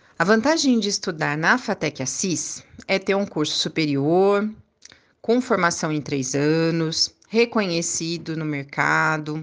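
Here is an unremarkable speaking voice with ordinary pitch variation at a fairly slow pace. The background is quiet. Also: woman. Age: 40s. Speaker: college professor and course coordinator. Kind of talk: interview.

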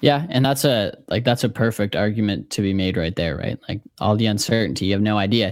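A man talks at a fairly quick pace with hardly any pauses, his pitch fairly low with ordinary variation. The recording is very clean, with a silent background. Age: 20s. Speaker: sports podcaster. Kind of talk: casual chat.

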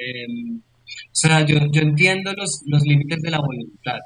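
Fairly high in pitch with ordinary pitch variation, the man has a plain, everyday voice. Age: 40s. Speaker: yoga teacher and university lecturer. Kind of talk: casual chat.

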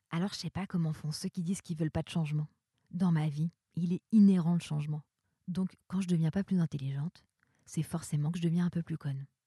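A woman speaks in a fairly low pitch with a dark, mellow tone and a somewhat breathy quality. She goes at a fairly quick pace, and the sound is dry and close with no echo. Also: fairly even intonation. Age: 30s. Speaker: performing arts worker. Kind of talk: personal monologue.

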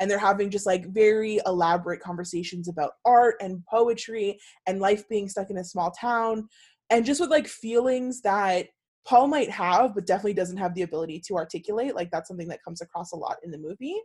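A woman with a plain, everyday voice speaks at medium pitch and a fairly quick pace, with ordinary pitch variation. Her loudness swings widely on a very clean recording with a silent background. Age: 20s. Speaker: podcast co-host. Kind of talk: casual chat.

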